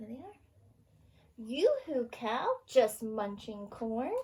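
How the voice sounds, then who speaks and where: A woman speaks at a fairly high pitch. Her pace is very slow. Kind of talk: children's storytime read-aloud. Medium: read story. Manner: cheerful, sing-song, gentle.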